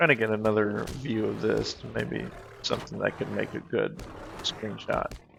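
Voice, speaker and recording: With music playing in the background, a man speaks quietly at a moderate pace. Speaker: gaming video creator. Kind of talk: let's play commentary. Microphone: echo on headset.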